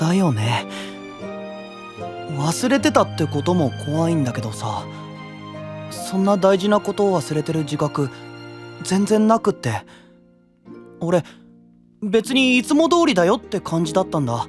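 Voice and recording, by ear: A man does a cartoonish character voice, high-pitched with big pitch swings and a slightly husky edge. He speaks at a fairly slow pace with long, frequent pauses, and faint music plays in the background.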